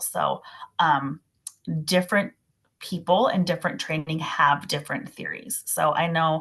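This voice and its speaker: Speaking with an American accent, the voice keeps a moderate pace and ordinary pitch variation. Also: woman. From Minnesota, US Midwest. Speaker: massage therapist. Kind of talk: casual expert chat. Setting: video call.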